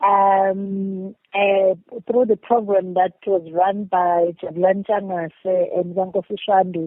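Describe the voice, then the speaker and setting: At a very slow pace, the voice holds a monotone, flat intonation and very even loudness. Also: woman, medium pitch for a woman. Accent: Zulu. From South Africa, rural northern KwaZulu-Natal. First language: Zulu. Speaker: winemaker. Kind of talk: interview.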